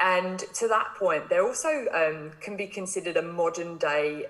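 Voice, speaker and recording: A woman with an English accent talks at a moderate pace, medium in pitch with ordinary pitch variation. Noticeable background noise runs behind her. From England. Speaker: marine biologist. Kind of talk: interview.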